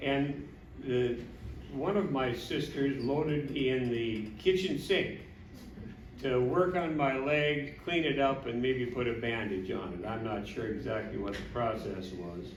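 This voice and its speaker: Lively intonation at a fairly slow pace in an Upper Midwest accent, with audible room echo and noticeable background noise. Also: man, medium pitch for a man. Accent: Upper Midwest (Minnesota). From Minnesota. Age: 70s. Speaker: family member giving a speech. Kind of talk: anniversary party speech.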